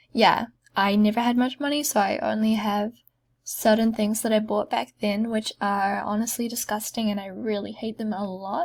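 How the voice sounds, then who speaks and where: Pitched fairly high, she sounds somewhat breathy. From New Zealand. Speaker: gaming vlogger. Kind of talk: casual gameplay commentary.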